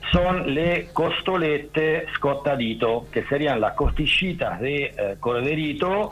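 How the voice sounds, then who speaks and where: A man with an Italian accent speaks at a very slow pace with lively intonation, amid noticeable background noise. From Rome, Italy. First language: Italian (speaking Spanish). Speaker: diving centre owner. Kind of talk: casual radio interview. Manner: halting.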